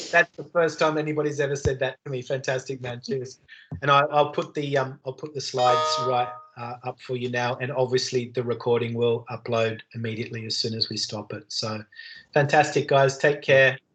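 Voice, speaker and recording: A man with an Australian accent at a medium pitch and a fairly quick pace, with fairly even intonation and music in the background. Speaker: university lecturer. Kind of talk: online lecture. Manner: fast; loud.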